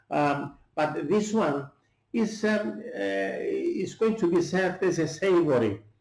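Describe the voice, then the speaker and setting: A man's high-pitched voice in a Greek accent, with very wide pitch swings and a fairly slow pace. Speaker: chef. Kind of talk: cooking tutorial. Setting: at home. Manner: halting, many fillers.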